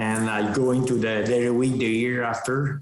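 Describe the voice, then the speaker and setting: The man speaks with a non-native accent. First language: French. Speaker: dairy farmer and cattle breeder. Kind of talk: podcast interview. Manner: halting.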